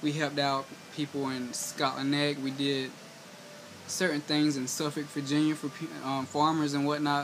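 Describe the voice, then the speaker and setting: With a Southern US accent, a man speaks at a moderate pace and a fairly high pitch. His intonation is monotone and flat, and there is noticeable background noise. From US South, eastern North Carolina. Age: 20s. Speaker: vlogger. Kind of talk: personal vlog monologue. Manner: halting.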